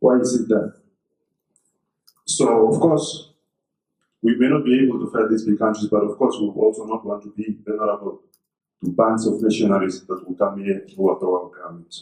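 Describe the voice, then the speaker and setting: Delivered at a fairly quick pace with long, frequent pauses, the dark, mellow voice has fairly even intonation but big swings in loudness. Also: man, fairly low pitch for a man. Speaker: government defence official. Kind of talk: public speech. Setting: conference hall.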